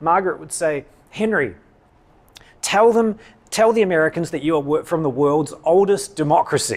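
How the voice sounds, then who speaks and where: A man with a New Zealand accent at a high pitch, moderate pace, with big swings in loudness and long, frequent pauses. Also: ordinary pitch variation. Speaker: political science professor. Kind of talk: public lecture.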